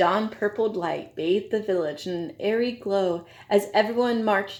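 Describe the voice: Straightforward reading aloud, its pitch varying in an ordinary way.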